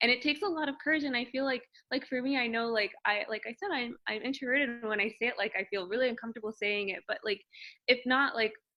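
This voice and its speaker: Soft-spoken, a woman talks at a very fast pace with a high pitch. Her pitch variation is ordinary. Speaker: PhD student in biology. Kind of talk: interview conversation.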